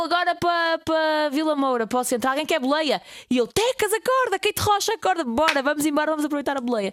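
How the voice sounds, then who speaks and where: This woman talks at a fairly quick pace in a high pitch with very wide pitch swings and very even loudness, recorded with a dry, close sound and no echo. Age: 20s. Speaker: radio host. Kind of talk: casual chat.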